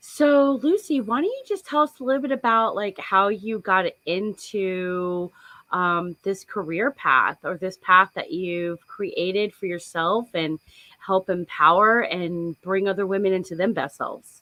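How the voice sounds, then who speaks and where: A woman with an American accent has a normal speaking voice. She talks at a fairly slow pace with lively intonation. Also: medium pitch for a woman. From South Florida. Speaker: podcast host. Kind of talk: interview conversation.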